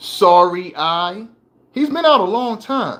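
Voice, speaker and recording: A man speaks with lively intonation. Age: 60s. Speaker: motivational speaker. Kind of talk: casual monologue. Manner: conversational, hesitant.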